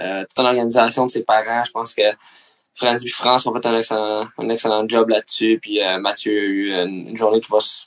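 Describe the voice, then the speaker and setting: The speech is monotone and flat at a moderate pace, with a dry, close sound and no echo. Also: man. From Quebec, Mercier. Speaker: professional hockey player. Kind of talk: casual chat.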